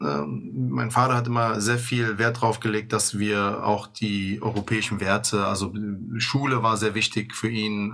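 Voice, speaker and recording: Behind this recording sits noticeable background noise. The male speaker keeps to a fairly slow pace. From Germany, Bonn (Bad Godesberg). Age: 30s. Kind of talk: interview.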